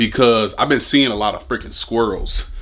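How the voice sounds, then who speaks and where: A man's medium-pitched voice carries over noticeable background noise. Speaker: fishing YouTuber. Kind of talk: casual vlog talk. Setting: indoors at home. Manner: stuttering; fast, animated.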